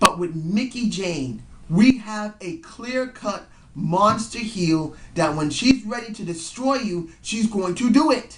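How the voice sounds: With lively intonation and a slow pace, the speech carries audible room echo.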